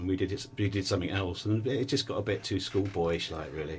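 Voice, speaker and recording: A man with an English accent, fairly low in pitch and somewhat breathy, at a fairly quick pace. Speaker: musician. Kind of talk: casual interview.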